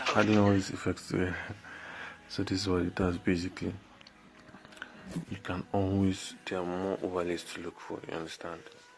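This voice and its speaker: A quiet man speaks at a fairly quick pace in a very deep, low pitch with flat, monotone intonation, broken by long, frequent pauses. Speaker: video editing tutorial youtuber. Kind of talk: tutorial. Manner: quiet, talking low; casual, halting.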